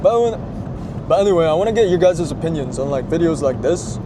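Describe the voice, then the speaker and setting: A man talks at a fairly quick pace with a high pitch and lively intonation. Audible room echo and noticeable background noise are present. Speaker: car vlogger. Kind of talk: casual vlog monologue. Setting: in a car. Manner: quiet, kept down.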